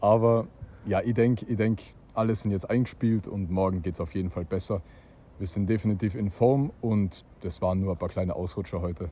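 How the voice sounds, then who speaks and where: He has an ordinary speaking voice. The man talks fairly quickly, with ordinary pitch variation. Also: fairly low pitch for a man. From Austria. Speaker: disc golf player. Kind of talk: casual interview.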